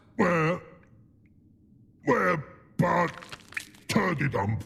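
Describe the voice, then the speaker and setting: A man's high-pitched, put-on character voice. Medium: video game. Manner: slow, broken grammar.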